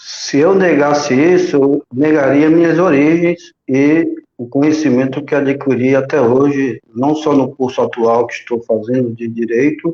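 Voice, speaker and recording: A man's unremarkable speaking voice, fairly high in pitch, with fairly even intonation, a fairly slow pace and hardly any pauses. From Guarujá, São Paulo coast, Brazil (born in Alagoas). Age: 40s. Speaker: union leader and law student. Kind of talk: live-stream interview.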